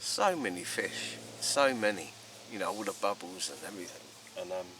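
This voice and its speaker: A man's fairly low voice with an English accent over noticeable background noise. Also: ordinary pitch variation, moderate pace. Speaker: angling vlogger. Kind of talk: casual vlog narration. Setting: outdoors by a lake. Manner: quiet, hesitant with many ums.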